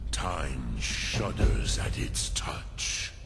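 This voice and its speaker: A man talks in a put-on character voice over loud background noise. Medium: machinima. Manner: solemn, measured.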